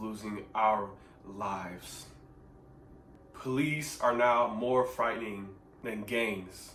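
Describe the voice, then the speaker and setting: The speaker has an American accent and talks at a very slow pace with fairly even intonation. Audible room echo surrounds the voice. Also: man. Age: young. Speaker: vlogger. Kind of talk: personal testimony. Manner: earnest, emphatic.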